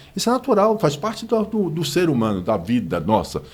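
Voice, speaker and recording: A man talks at a fairly quick pace with vocal fry, his pitch swinging very widely. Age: 60s. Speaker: business association president. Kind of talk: interview. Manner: animated.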